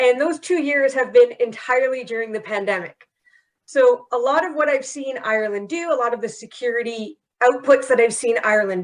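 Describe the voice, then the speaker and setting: Her voice high, a woman talks at a fairly quick pace with lively intonation. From Canada. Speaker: security professional. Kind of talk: panel discussion.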